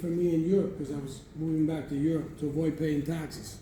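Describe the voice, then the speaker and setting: Heard with audible room echo, a man talks at a moderate pace in a dark, mellow tone. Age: 70s. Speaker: cigar industry veteran, master blender. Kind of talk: storytelling talk at a live event. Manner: animated.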